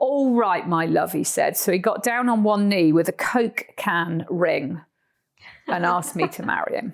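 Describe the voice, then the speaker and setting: An animated woman with a Cornish accent, lively intonation and a fairly slow pace. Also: medium pitch for a woman. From Cornwall, southwest England. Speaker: horse trekker and author. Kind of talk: casual interview chat.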